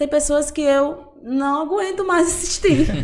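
A woman's high-pitched voice at a fairly slow pace. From interior of Bahia, Brazil (Amargosa). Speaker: personal trainer. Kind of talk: casual interview.

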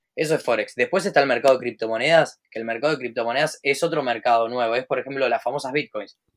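With a Rioplatense accent, a man talks very fast at a medium pitch with ordinary pitch variation and hardly any pauses. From Buenos Aires, Argentina. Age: 20s. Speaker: trader and entrepreneur. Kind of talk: casual interview.

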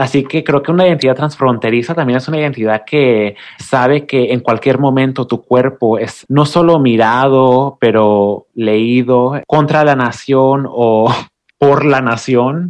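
This man has an ordinary speaking voice at a medium pitch. He talks at a fairly slow pace with fairly even intonation. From Oaxaca coast, Mexico. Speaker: poet and writer. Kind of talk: interview conversation.

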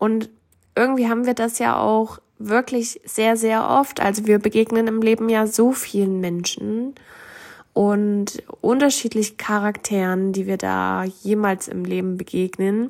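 A woman speaks at a fairly slow pace. Her voice sits fairly high in pitch. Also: fairly even intonation. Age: 20s. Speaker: podcaster. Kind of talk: personal monologue.

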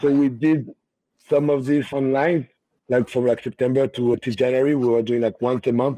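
In a French accent, a man with a medium pitch and a dark, mellow tone speaks at a moderate pace, keeping very even loudness and fairly even intonation in a dry, close sound with no echo. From Paris, France. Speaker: cognac brand ambassador and bar owner. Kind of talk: casual interview. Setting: video call.

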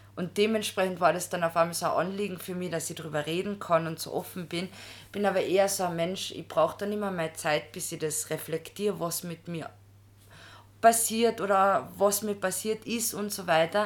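A woman with an unremarkable speaking voice and medium pitch talks at a moderate pace with fairly even intonation and big swings in loudness. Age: 20s. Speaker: master's student in social work. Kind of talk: personal testimony in casual interview.

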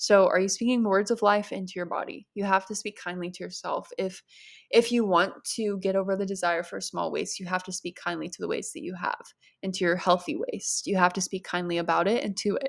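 The voice moves at a fairly quick pace with big swings in loudness. The recording is very clean, with a silent background. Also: woman. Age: 20s. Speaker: podcast host, eating disorder recovery. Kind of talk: solo Q&A monologue. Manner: casual, chatty with laughter.

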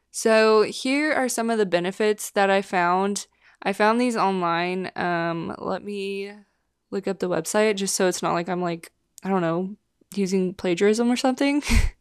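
A woman with an unremarkable speaking voice talks at a moderate pace and medium pitch. Her pitch varies in an ordinary way, and the recording is very clean with a silent background. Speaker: podcast host. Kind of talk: casual solo chat. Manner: casual, chatty.

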